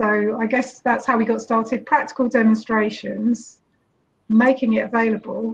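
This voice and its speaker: A woman speaks with a British accent at a fairly high pitch. Her intonation is monotone and flat. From UK. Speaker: social entrepreneur; panelist. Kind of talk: panel discussion. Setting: video call from eco village. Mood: calm, reflective. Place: home room. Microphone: video call.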